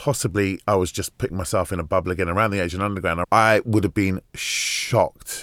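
A man with a London accent and a fairly low pitch, ordinary pitch variation, a fairly quick pace with hardly any pauses, and a dry, close sound with no echo. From West London. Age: 50s. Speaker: broadcaster and documentary presenter. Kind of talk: interview.

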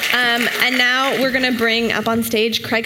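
A woman with a fairly high pitch talks at a moderate pace, and noticeable noise is heard behind her. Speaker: conference panel moderator. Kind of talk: moderated panel discussion. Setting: stage with audience.

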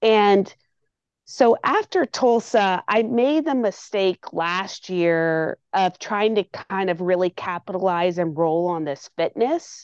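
The speech moves at a very slow pace with lively intonation. The sound is dry and close with no echo, over a quiet background. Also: woman, medium pitch for a woman. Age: 40s. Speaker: triathlete and triathlon coach. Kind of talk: interview. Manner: halting, many fillers and repeats.

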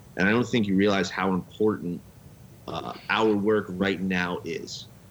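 Slow and fairly low in pitch, a man talks in an ordinary speaking voice. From Las Vegas, US. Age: 30s. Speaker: podcast co-host, guest. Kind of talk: casual chat.

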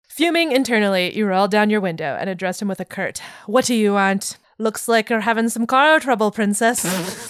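An unforced reading voice carries the text, its pitch moving up and down in an ordinary way.

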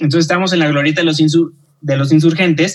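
A man with a plain, everyday voice, a fairly high pitch and fairly even intonation. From Mexico, Guadalajara. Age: 30s. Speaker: journalist and TV news anchor. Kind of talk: casual interview chat.

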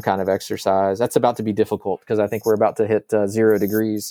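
A man with an American accent and a fairly low pitch speaks in a dark, mellow tone, with a dry, close sound with no echo on a very clean recording with a silent background. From Northern Virginia, later Arkansas. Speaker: campus minister. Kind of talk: interview conversation.

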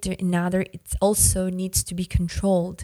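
A woman with a Russian accent speaks in a medium pitch and a dark, mellow tone. The sound is dry and close, with no echo. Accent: Russian-accented English, moderate. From Yakutia, Siberia, Russia. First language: Yakut. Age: 30s. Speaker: musician. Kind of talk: interview conversation. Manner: halting, many fillers.

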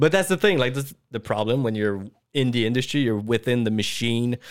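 A man speaks in an ordinary speaking voice at a medium pitch. His pace is fairly quick. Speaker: VFX artist and director. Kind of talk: casual chat.

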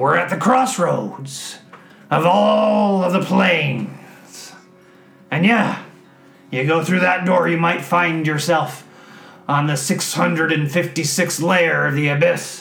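Very slow pace in a put-on character voice. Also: man, fairly high pitch for a man. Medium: actual play. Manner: folksy, rambling.

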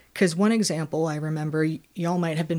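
A woman talks with a fairly low pitch and fairly even intonation in an unremarkable speaking voice. The recording is very clean, with a silent background. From New York, then Charleston South Carolina. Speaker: city council candidate. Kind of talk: casual interview about policy.

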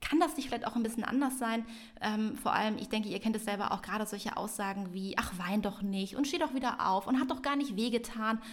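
Somewhat breathy and fairly high in pitch, a woman's voice moves at a very fast pace. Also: ordinary pitch variation. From Hamburg, northern Germany. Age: 30s. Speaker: parenting podcast co-host. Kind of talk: casual chat. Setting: at a kitchen table.

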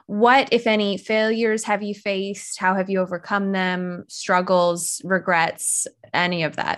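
She has an unremarkable speaking voice, medium in pitch, with fairly even intonation. The woman talks at a fairly slow pace, with hardly any pauses. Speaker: podcast host. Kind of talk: casual chat.

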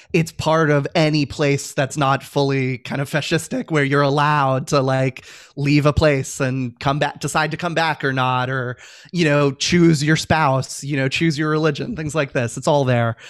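A man's ordinary speaking voice with an American accent, fairly high pitch, moderate pace and fairly even intonation, on a very clean recording with a silent background. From Virginia, US. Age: 30s. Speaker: civic advocate and author. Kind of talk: interview conversation.

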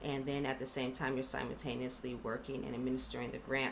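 Speaking with vocal fry and monotone, flat intonation, a woman with an American accent uses a very deep, low pitch amid audible room echo. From Los Angeles County, California. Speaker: economic development program representative. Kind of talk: interview.

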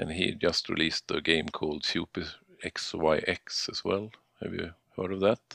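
A man's very deep, low voice in a Swedish accent, fairly even in intonation, at a moderate pace. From Sweden. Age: 40s. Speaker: indie game developer. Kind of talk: casual interview. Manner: halting.

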